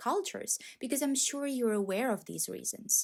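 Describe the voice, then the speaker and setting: Pitch varies in an ordinary way. The delivery moves at a moderate pace. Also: woman. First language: not English. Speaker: book video creator. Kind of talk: video essay. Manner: measured, scripted.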